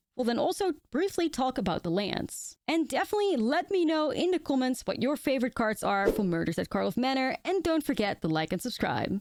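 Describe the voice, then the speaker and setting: A woman with a non-native accent speaks high-pitched at a fairly quick pace, with hardly any pauses and very even loudness. Her pitch swings very widely, and the sound is dry and close with no echo. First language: not English. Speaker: Magic: The Gathering content creator. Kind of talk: card set review video.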